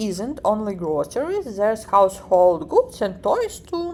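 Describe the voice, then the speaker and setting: A woman's fairly high voice in a Ukrainian accent, very slow, with very wide pitch swings. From Ukraine. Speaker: vlogger. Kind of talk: vlog narration. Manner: halting, with filler words.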